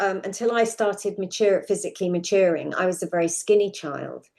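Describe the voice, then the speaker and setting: A woman with a southern English accent talks at a moderate pace in a dark, mellow tone with fairly even intonation. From London suburbs, England. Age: 60s. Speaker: podcast guest sharing personal story. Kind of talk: interview testimony.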